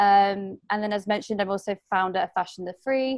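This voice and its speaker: In a British accent, the speaker keeps a moderate pace and ordinary pitch variation, recorded with a dry, close sound and no echo. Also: woman. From UK. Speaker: fashion designer and webinar host. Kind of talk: webinar introduction. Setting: video call webinar. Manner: hesitant, many fillers.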